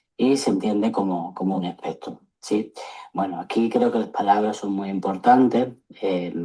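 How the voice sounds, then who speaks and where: Dark and mellow in tone, a man's fairly low voice carries an Andalusian accent and fairly even intonation. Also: moderate pace. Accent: Andalusian (Seville) accent, noticeable. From Seville, Andalusia, Spain. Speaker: psychologist. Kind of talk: lecture. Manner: hesitant, many fillers.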